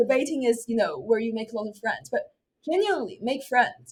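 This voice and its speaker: A woman speaks with a Chinese accent. Her fairly high pitch moves with ordinary variation. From China, Beijing. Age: 20s. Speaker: university student and debater. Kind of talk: interview.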